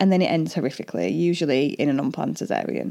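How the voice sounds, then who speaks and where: A woman speaks with a dark, mellow tone and vocal fry. The recording is very clean, with a silent background. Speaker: doula and podcaster. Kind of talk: solo podcast monologue. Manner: informal, friendly; struggles to pronounce some words.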